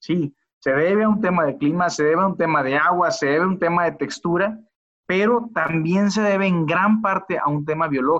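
A man speaks at a fairly quick pace in a high pitch, with ordinary pitch variation. His loudness stays very even. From Mexico, Culiacán, Sinaloa. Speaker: biotech company executive. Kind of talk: interview. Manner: halting, many repetitions and fillers.

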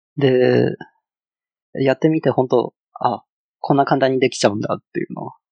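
In a Chinese accent, a man speaks at a moderate pace with long, frequent pauses. His loudness swings widely. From China. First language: Chinese (speaking Japanese). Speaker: front-end engineer. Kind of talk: casual chat. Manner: halting, many fillers.

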